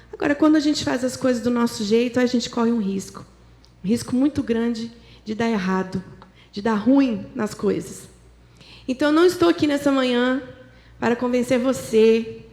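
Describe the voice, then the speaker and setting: A woman speaks in a high voice, with long, frequent pauses. Noticeable background noise runs underneath. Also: ordinary pitch variation, moderate pace. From interior of São Paulo state, Brazil. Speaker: guest preacher. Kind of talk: sermon. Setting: church.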